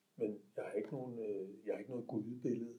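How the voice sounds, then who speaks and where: A man talks at a moderate pace. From Denmark, Hellerup (north Copenhagen). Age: 50s. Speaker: twelve-step group member. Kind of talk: recovery meeting share. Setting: self-help group meeting. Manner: halting, many filler sounds.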